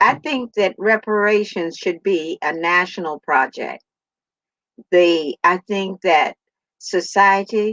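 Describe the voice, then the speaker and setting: This woman talks at a very slow pace, her voice at a medium pitch. The pitch varies in an ordinary way, and the sound is dry and close with no echo. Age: 70s. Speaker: author. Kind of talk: panel discussion answer.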